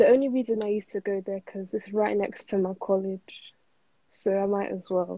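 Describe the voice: Dark, mellow tone at a moderate pace, fairly even intonation and a dry, close sound with no echo. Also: woman, medium pitch for a woman.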